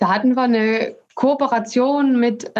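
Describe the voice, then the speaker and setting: Very slowly and somewhat breathily, a woman speaks with a slight Saxon accent and ordinary pitch variation. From Saxony, Dresden. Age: 30s. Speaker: sports association inclusion manager. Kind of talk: casual interview. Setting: video call.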